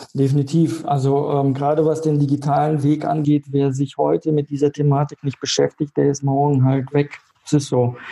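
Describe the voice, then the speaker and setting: With hardly any pauses, a man talks at a moderate pace in a flat monotone and a fairly high pitch, the sound dry and close with no echo. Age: 30s. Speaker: insurance broker. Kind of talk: interview.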